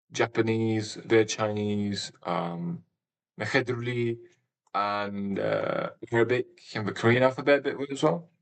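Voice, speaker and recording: This man has a British accent and a medium pitch. He speaks at a fairly slow pace with ordinary pitch variation. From England. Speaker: gaming streamer. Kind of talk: live stream chat. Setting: live stream. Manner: halting.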